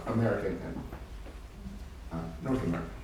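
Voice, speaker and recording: Amid audible room echo and noticeable background noise, a man with a Spanish accent speaks at a very fast pace. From Argentina. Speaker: novelist and translator. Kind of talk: panel talk with reading aloud. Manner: halting with many fillers.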